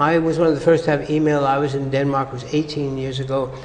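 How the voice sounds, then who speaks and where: A man with an American accent talks at a very fast pace. Audible room echo and noticeable background noise come through. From US. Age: 70s. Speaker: psychologist. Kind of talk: interview. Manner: halting.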